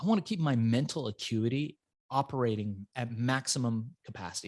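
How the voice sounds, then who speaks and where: A man speaks at medium pitch with lively intonation. The sound is dry and close with no echo, on a very clean recording with a silent background. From Iran, raised in the US from age five. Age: 40s. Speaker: entrepreneur. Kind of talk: interview storytelling. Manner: animated.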